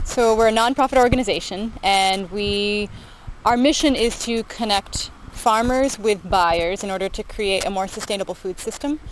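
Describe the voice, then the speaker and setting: A woman's normal speaking voice with an American accent, fairly high in pitch and at a moderate pace. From US Southwest (small town in Arizona on Mexican border). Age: 20s. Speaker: nonprofit director. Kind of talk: interview. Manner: casual with frequent fillers.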